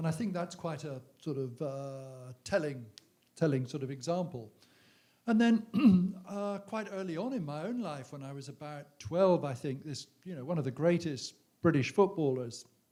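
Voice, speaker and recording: This man has an English accent and a fairly high pitch, with a dark, mellow tone. His intonation is lively, his loudness swings widely, and his pace is moderate. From England. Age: 60s. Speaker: author. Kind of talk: on-stage conversation. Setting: stage with audience. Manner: halting.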